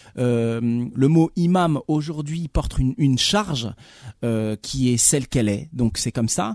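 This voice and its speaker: A man with a plain, everyday voice talks at a fairly slow pace and medium pitch. The sound is dry and close with no echo, on a very clean recording with a silent background. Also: lively intonation. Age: 40s. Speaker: film director. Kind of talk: radio interview.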